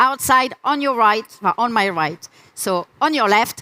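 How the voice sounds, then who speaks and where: A raised, projected voice with a French accent and a bright, sharp tone rides lively intonation, recorded dry and close with no echo. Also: woman. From France. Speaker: UX researcher, conference speaker. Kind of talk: conference talk. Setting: stage with audience.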